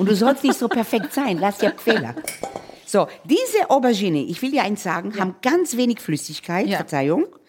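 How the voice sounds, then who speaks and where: A fairly high female voice at a moderate pace, with very wide pitch swings and noticeable background noise. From Israel, Tel Aviv. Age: 60s. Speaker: chef and restaurateur. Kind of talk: casual chat while cooking.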